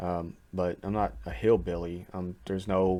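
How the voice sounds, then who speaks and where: A man talks in a Kentucky accent with a very deep, low pitch and a dark, mellow tone. The recording is very clean with a silent background. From Kentucky, US. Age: 40s. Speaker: YouTube reaction reviewer. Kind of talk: casual video commentary. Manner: hesitant, many fillers.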